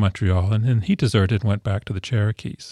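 A man with a Canadian accent, a dark, mellow, somewhat breathy tone, fairly low pitch, ordinary pitch variation, and a fairly quick pace, in a dry, close sound with no echo. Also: very clean recording, silent background. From Ontario, Canada. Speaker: historian. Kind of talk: interview. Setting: studio.

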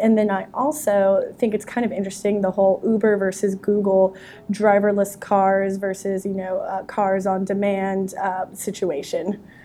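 Using a normal speaking voice, a woman speaks at a medium pitch and a moderate pace. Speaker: tech journalist and podcast co-host.

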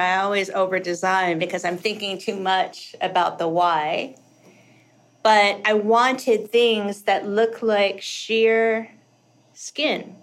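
A woman speaks in a normal speaking voice at a medium pitch. Her pace is fairly slow, with ordinary pitch variation. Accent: American. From US South, rural Kentucky. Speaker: costume designer. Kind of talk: casual interview chat.

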